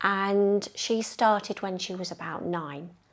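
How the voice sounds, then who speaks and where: Against a quiet background, a woman with a London accent and a medium pitch talks at a very slow pace. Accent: London accent, noticeable in Yorkshire. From North London. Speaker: bowls club member, ladies team organiser. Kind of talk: interview.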